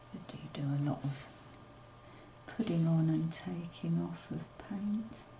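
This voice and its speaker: At a fairly slow pace, a woman speaks with long, frequent pauses, amid noticeable background noise and audible room echo. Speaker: watercolour artist. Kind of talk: tutorial. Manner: mumbling; casual, unhurried.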